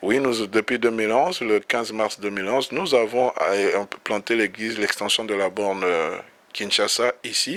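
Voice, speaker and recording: Noticeable background noise sits behind a man talking at a moderate pace. His pitch is fairly low, with ordinary pitch variation. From DR Congo. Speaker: pastor. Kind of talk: interview. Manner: halting.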